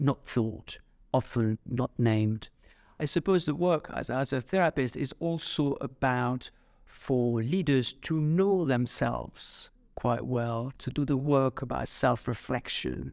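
A man speaks at a fairly slow pace and a medium pitch. The recording is very clean, with a silent background. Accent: French. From France. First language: French. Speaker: executive coach and psychotherapist. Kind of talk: podcast interview. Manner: halting, many fillers.

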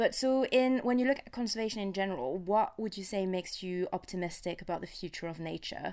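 A woman at a very fast pace with lively intonation. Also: medium pitch for a woman, hardly any pauses. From France. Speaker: podcast co-host, science journalist. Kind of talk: casual chat.

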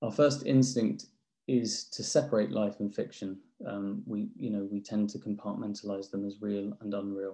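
With ordinary pitch variation, a man talks in a dark, mellow tone. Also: moderate pace. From England, London. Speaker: novelist and publisher. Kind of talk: academic talk. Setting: video call.

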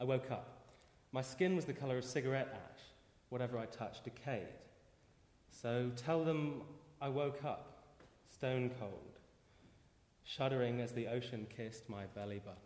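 Long, frequent pauses break up a man's speech, delivered at a moderate pace and medium pitch with ordinary pitch variation. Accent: British. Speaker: poet. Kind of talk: reading aloud his own poem. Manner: dramatic, incantatory repetition; halting, self-interrupting confessional pauses.

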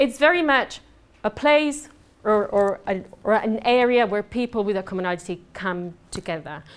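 Moderately paced speech with a lively intonation. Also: woman, fairly high pitch for a woman. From southern Spain. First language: Spanish. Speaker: conference speaker on business networking. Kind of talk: presentation to a live audience. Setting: stage with audience. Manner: animated.

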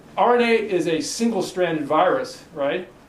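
Noticeable background noise, audible room echo and a fairly slow pace. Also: man. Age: 50s. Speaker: researcher giving a talk on Ebola ecology. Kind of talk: lecture. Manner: halting, many fillers and repetitions.

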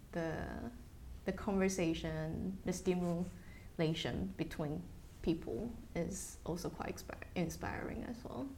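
The voice carries vocal fry. There is audible room echo in the recording. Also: woman, fairly low pitch for a woman, ordinary pitch variation, fairly slow pace. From Taiwan. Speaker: biomedical engineer and company executive. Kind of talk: oral history interview.

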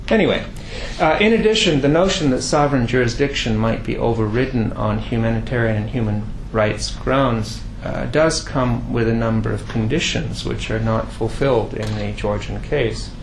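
Someone with a Canadian accent talks at a moderate pace, with audible room echo and noticeable background noise. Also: man. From Quebec, Canada. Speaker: professor. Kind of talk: lecture. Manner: halting, with many fillers.

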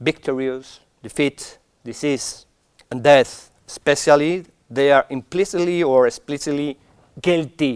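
In a dry, close recording with no echo, a man talks at a fairly slow pace and a fairly high pitch, with ordinary pitch variation. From Spain. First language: Spanish. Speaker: academic speaker. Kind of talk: conference talk. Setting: stage with audience. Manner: halting.

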